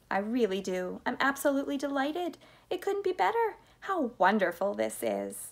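A woman puts on a character voice with vocal fry at a moderate pace. Her high pitch swings widely.

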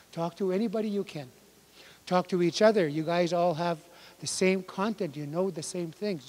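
The man's voice sits high for a male, and its pitch moves in an ordinary way. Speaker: language workshop instructor. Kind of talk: lecture. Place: hall. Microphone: handheld.

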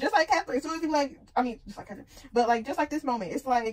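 Very fast, lively speech from a woman with a high pitch. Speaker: reaction video creator. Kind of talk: casual reaction commentary. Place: home room. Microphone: phone near.

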